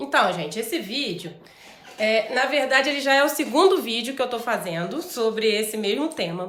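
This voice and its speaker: A woman speaks at a fairly high pitch, her voice swinging very widely up and down. Noticeable background noise and audible room echo accompany her. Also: moderate pace. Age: 40s. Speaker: vlogger. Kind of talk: personal vlog talk. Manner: conversational.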